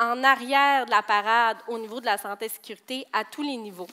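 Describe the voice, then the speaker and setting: A woman in a Saguenay accent projects a raised voice with a bright, sharp tone and ordinary pitch variation. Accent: Saguenay Quebec French. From Quebec, Saguenay. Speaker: safety program coordinator at a construction company. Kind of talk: conference presentation. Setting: stage with audience.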